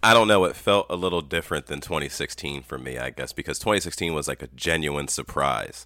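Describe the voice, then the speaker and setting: A man talks at a very fast pace with hardly any pauses, his very deep, low voice carrying vocal fry. His tone is bright and sharp, with ordinary pitch variation. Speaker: podcast guest. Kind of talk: casual chat.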